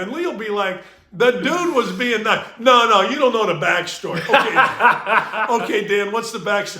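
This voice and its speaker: A man's raised, projected voice, high-pitched, with lively intonation, hardly any pauses and a moderate pace, plus audible room echo and noticeable background noise. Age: 60s. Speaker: sports talk podcast host. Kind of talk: casual chat.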